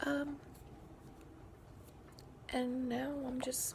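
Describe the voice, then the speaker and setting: Noticeable background noise accompanies a woman whose pitch is high. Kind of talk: casual talk to camera. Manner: hesitant, rambling.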